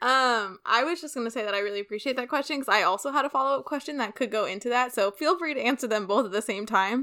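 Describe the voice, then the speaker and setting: A woman's high voice in a Californian accent, very fast with hardly any pauses and ordinary pitch variation. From San Francisco Bay Area. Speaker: podcast co-host, former student. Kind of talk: casual chat.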